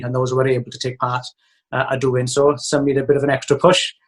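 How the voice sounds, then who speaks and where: Somewhat breathy, a man at medium pitch speaks with a Welsh accent. He goes at a very fast pace with monotone, flat intonation. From Wales. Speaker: primary school teacher and autograss racer. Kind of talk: interview.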